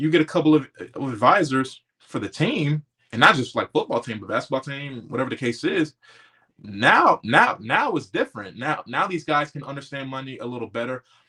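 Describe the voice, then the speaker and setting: Pitched fairly high with a bright, sharp tone, a man talks at a fairly quick pace, his loudness swinging widely while his pitch varies in an ordinary way. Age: 20s. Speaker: former college football player. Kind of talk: casual interview chat.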